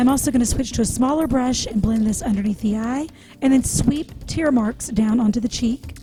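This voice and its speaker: Music plays behind a woman who speaks quietly at a fairly quick pace. Her pitch is high, with ordinary variation. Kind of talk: makeup tutorial voice-over. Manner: quiet, low volume.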